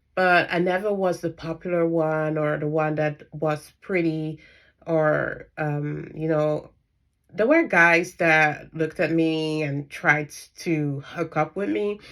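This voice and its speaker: With a non-native accent, a woman speaks at a very slow pace in a very deep, low pitch with fairly even intonation, in a very clean recording with a silent background. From Netherlands. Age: 30s. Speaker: spiritual coach and dietitian. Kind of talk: personal vlog monologue. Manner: halting, many fillers.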